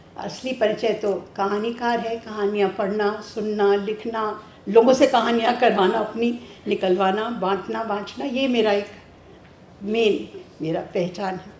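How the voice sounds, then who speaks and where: A fairly high-pitched woman with fairly even intonation, amid noticeable background noise and audible room echo. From Delhi, India. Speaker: writer and storyteller. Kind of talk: memorial speech. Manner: halting.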